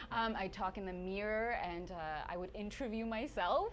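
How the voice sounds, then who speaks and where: With a Canadian accent, a woman speaks at a medium pitch in a space with audible room echo. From Sweden, then Stratford, Ontario. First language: Swedish. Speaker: TV journalist and presenter. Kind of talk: casual interview. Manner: animated.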